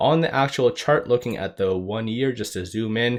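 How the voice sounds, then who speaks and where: A man talks at a moderate pace in an unremarkable speaking voice, pitched fairly low. His pitch variation is ordinary, and the recording is very clean with a silent background. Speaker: stock market YouTuber. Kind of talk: market analysis commentary.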